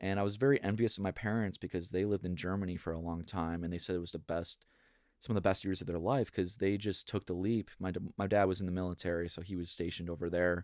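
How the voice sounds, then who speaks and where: A very fast man's voice with a very deep, low pitch, an American accent and fairly even intonation. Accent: Minnesota accent, comes out now and then. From Minnesota. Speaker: pop punk singer-songwriter. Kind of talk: casual interview chat.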